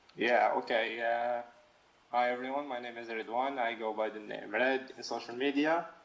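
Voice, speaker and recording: Through noticeable background noise, a man speaks at a moderate pace and medium pitch with fairly even intonation. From Algeria, North Africa. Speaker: freelance comic and manga artist. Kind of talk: casual interview chat. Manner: halting, many fillers and restarts.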